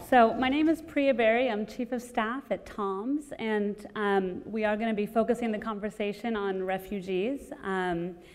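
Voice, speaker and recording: With hardly any pauses, the woman keeps a moderate pace and ordinary pitch variation. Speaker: panel moderator. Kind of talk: panel introduction. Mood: light, friendly opening. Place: hall. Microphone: lapel.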